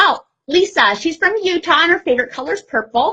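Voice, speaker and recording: Bright and sharp in tone, a woman speaks in a raised, projected voice. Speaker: bath product maker and business owner, former nurse. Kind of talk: live-stream chat with viewers. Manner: fast when nervous.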